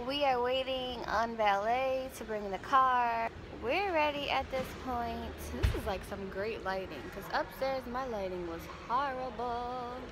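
A woman at a fairly slow pace with ordinary pitch variation, amid noticeable background noise. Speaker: pregnant vlogger. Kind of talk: casual vlog chat.

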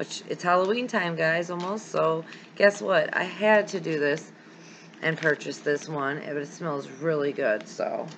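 Light background noise sits behind a woman with a fairly low pitch. She speaks at a fairly slow pace in a plain, everyday voice. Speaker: candle wax hobby vlogger. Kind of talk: casual vlog chat. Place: home room. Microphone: webcam.

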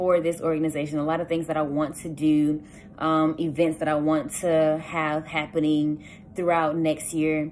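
A woman with a very deep, low pitch speaks over light background noise. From US South, south Georgia. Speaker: student. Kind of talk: campaign speech; campaign message, casual vlog chat. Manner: casual, with frequent filler words. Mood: warm, hopeful, upbeat. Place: home room. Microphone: phone near.

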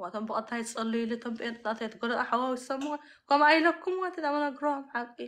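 A woman's high pitch and animated tone at a moderate pace, with ordinary pitch variation. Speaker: YouTuber. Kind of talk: live stream chat.

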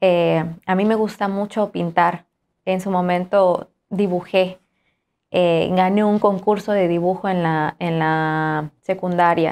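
A woman speaks at a very slow pace with a medium pitch. Her intonation is monotone and flat. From Juchitán, Oaxaca, Mexico; Oaxaca, Mexico. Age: young. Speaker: singer; interview guest. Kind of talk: interview. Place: studio. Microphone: lapel.

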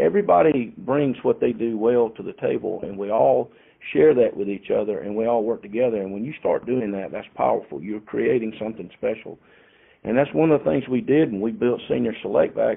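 With a Southern US accent, a man delivers his words at a fairly quick pace. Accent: Southern US (Georgia). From US South, rural Georgia. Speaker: insurance company founder. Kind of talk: interview.

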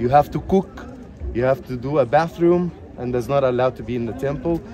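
A man talks at a moderate pace with ordinary pitch variation, the sound dry with no echo and light background noise behind it. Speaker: tour guide. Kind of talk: guided tour explanation. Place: open country. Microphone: headset.

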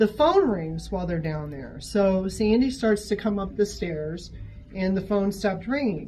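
With music in the background, a woman with an American accent speaks at a fairly slow pace, her tone animated and her intonation lively. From US Midwest. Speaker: shop worker telling ghost stories. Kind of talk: ghost story telling, told in a conversational first-person way. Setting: on-site interview in a gallery, with others listening. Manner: animated, vivid, suspenseful, with laughs and asides. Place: shop. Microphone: camera far.

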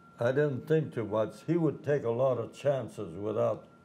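Speaking at a fairly slow pace, the voice has a dark, mellow tone, vocal fry and lively intonation. Light background noise is present. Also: man. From Pennsylvania, USA. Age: 100. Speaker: World War II Navy veteran. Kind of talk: interview answer. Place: boat.

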